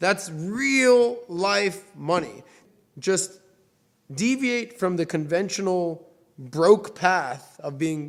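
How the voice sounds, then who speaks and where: A loud man at a high pitch, with ordinary pitch variation. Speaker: finance show host. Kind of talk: casual money advice interview.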